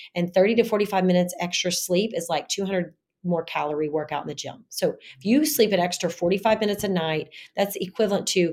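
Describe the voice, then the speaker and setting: A woman's normal speaking voice at medium pitch, with ordinary pitch variation and a fairly quick pace. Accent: American. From US South. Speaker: gynecologist. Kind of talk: casual interview.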